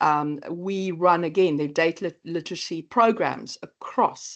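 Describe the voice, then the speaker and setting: A woman with a South African accent speaks at a fairly low pitch, her pitch varying in an ordinary way over a quiet background. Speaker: AI training company presenter. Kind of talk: webinar presentation. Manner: halting, many fillers.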